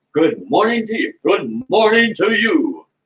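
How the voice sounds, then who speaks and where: Putting on a character voice, a man speaks high-pitched and fairly slowly, his pitch swinging very widely. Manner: announcer voice.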